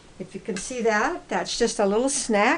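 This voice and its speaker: Intonation stays lively while noticeable noise carries on behind. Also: woman. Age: 80s+. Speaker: health vlogger. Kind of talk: cooking demonstration. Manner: casual, halting.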